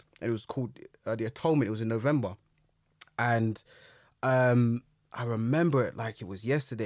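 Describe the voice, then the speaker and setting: A man with a London accent at a very fast pace. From London, Brixton. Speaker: historian and youth mentor. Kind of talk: interview, personal story.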